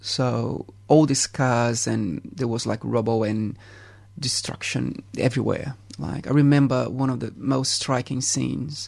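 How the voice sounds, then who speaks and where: With vocal fry, a man speaks at a fairly slow pace, his medium pitch showing ordinary variation. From Brazil, Rio de Janeiro. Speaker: photographer and artist. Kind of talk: radio interview. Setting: studio. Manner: halting.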